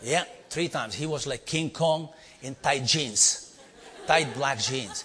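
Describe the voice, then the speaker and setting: A man speaks with an Indian accent. His pace is fairly slow. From India (Bombay). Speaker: leadership trainer and speaker. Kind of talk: storytelling talk to a live audience. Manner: animated.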